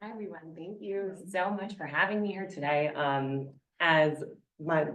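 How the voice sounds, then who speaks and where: With a New York accent, the speaker talks at a fairly slow pace, showing ordinary pitch variation and big swings in loudness, over audible room echo. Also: woman, fairly low pitch for a woman. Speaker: gerontology professor. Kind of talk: conference presentation.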